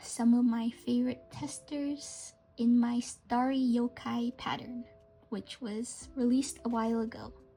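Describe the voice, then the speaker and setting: Fairly slow speech over music in the background. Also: woman. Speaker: amigurumi crochet pattern designer. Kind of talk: casual talk to camera. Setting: no microphone, home recording.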